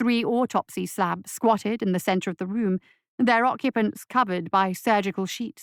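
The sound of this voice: The voice reads in an unforced way against a quiet background.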